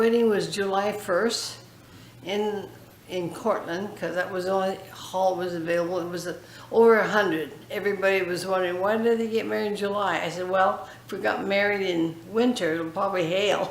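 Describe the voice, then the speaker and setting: Amid noticeable background noise and audible room echo, a woman of medium pitch speaks at a moderate pace with fairly even intonation. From California, US. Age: 80s+. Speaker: foundation founder interviewee. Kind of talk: interview. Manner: halting.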